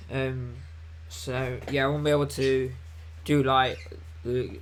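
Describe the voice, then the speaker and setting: A man's medium-pitched voice with very wide pitch swings, in audible room echo. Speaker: gardening youtuber. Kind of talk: live stream Q&A chat. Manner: casual, hesitant with many ums.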